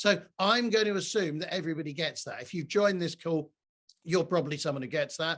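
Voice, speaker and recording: Over a quiet background, a man speaks loudly at a fairly quick pace. His high pitch has a bright, sharp tone and ordinary variation. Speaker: diversity and allyship speaker. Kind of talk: online presentation. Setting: video call from home.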